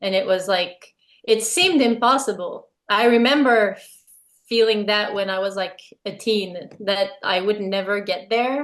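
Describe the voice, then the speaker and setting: Speaking fairly slowly with a French-Canadian accent, a woman uses a medium pitch and ordinary pitch variation. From Quebec, small town. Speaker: musician. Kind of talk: interview.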